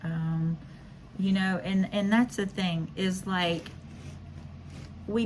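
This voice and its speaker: A woman speaks very slowly in a somewhat breathy voice. Her medium pitch carries fairly even intonation. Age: 50s. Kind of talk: casual devotional talk. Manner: halting, many fillers.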